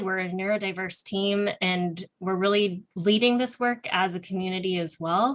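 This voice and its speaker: A woman speaks at a moderate pace with fairly even intonation and a medium pitch. It is an ordinary speaking voice. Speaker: nonprofit founder presenting employment program. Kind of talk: panel presentation.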